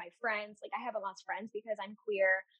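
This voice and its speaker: A woman with an American accent talks in an ordinary speaking voice. Her pitch sits fairly high, with ordinary pitch variation. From Seattle area, US. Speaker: candle business owner and teacher. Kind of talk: casual interview chat.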